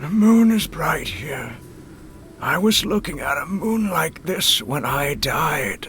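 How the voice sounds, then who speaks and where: Clear background noise sits behind a man's put-on character voice. It is high-pitched and delivered at a fairly slow pace. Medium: video game.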